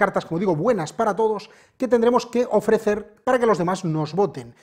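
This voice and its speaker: A man talks at moderate speed with a quiet background behind him. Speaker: presenter. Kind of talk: review and tutorial. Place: shop. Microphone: lapel.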